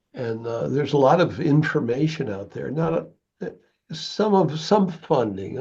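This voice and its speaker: At a moderate pace, a man with a fairly high pitch and a dark, mellow tone speaks with vocal fry and very wide pitch swings. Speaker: community volunteer. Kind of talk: casual meeting discussion. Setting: video call. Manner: halting.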